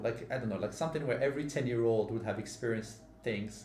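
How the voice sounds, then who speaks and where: A man with a medium pitch is heard amid noticeable background noise, his voice carrying audible room echo. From Morocco. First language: not English (English is third language). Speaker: podcast host. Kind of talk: casual chat.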